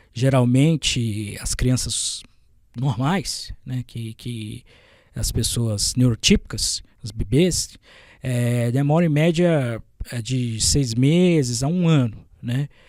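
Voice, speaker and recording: Speaking at a very slow pace, a man with a medium pitch and ordinary pitch variation is heard on a very clean recording with a silent background. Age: 20s. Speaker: journalist. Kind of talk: podcast interview. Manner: hesitant, with fillers and stumbles.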